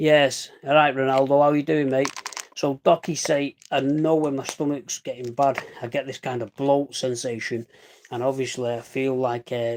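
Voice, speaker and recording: In a dry, close sound with no echo, a man speaks at medium pitch with monotone, flat intonation. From northern England, Salford, Manchester. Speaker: livestreamer. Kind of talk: casual live stream chat. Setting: live stream. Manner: fast.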